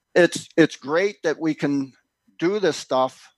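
A man with a normal speaking voice speaks at a fairly slow pace with ordinary pitch variation, in a dry, close recording with no echo and a quiet background. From Philadelphia, US. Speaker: homesteader and author. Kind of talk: casual interview. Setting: remote link.

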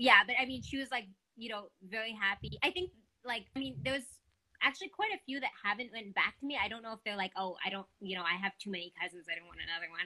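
A woman talks at a very fast pace with lively intonation. Her voice is fairly high in pitch, with a bright, sharp tone. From Quebec, Montreal. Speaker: adoptee sharing her story. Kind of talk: casual interview chat.

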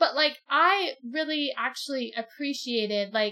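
A woman is speaking. Her intonation is lively. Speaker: book podcast co-host. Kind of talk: casual book discussion.

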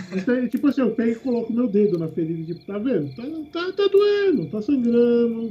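A man with an extremely high pitch talks at a fairly quick pace, his pitch swinging very widely, over noticeable background noise. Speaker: tabletop RPG player. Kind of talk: tabletop RPG play. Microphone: quiet, using distant webcam mic.

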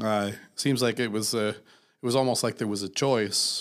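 With an American accent and an unremarkable speaking voice, a man talks fairly slowly at a medium pitch with fairly even intonation, on a very clean recording with a silent background. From US. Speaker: podcast co-host and musician. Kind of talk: casual chat.

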